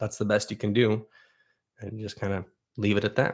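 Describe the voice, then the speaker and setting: Fairly low in pitch, a man's voice comes across with monotone, flat intonation. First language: Russian. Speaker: YouTuber and foraging educator. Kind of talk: livestream Q&A. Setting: livestream. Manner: casual, conversational with fillers.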